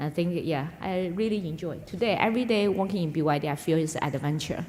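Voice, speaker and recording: A woman with a Chinese accent speaks with lively intonation amid audible room echo. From China, Yunnan. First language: Mandarin Chinese. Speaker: business executive. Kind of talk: onstage interview. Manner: halting, many fillers.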